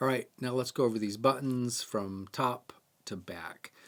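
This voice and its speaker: A man's ordinary speaking voice at a medium pitch and moderate pace, with fairly even intonation, on a very clean recording with a silent background. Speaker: bird photography camera tutorial host. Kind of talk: tutorial.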